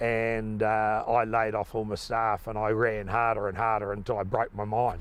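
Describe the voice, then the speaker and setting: The speaker is a man with a New Zealand accent. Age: 60s. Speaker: farmer. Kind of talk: interview.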